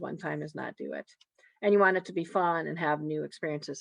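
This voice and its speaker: Speaking at a very fast pace, a woman with vocal fry and a very deep, low pitch keeps her intonation fairly even, in a dry, close sound with no echo. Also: quiet background. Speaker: feeding therapist presenter. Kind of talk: webinar presentation with Q&A.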